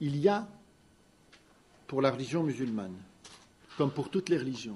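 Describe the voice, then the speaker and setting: With lively intonation and a dark, mellow tone, a man speaks at a moderate pace in a fairly high voice. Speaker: lawyer. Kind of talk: press conference statement. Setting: press conference. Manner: loud, carrying voice.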